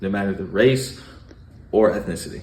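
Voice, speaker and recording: With lively intonation and a somewhat breathy voice, a man speaks at a fairly quick pace. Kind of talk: mock infomercial presentation.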